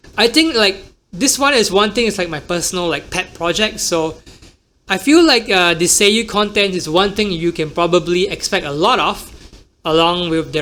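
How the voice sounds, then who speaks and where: A man with an American accent speaks at a moderate pace, his high pitch moving with ordinary variation. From Singapore. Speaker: podcast host and emcee. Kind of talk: casual solo podcast talk.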